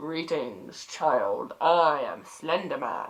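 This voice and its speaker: The voice sits at a middle pitch. It is a put-on character voice. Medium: read story. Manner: formal, measured.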